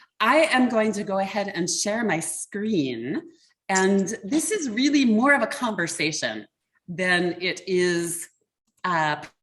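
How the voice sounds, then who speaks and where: A woman with an American accent speaks very slowly in a somewhat breathy voice at medium pitch, her pitch swinging very widely. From US Mid-Atlantic, Baltimore, Maryland. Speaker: customer experience mentor and association board chair. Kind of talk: online workshop talk.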